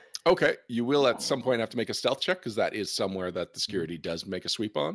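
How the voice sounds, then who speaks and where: A man with a Canadian accent, medium pitch and very wide pitch swings, very fast pace, dry close sound with no echo, and a very clean recording with a silent background. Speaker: game master. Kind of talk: tabletop role-playing game session.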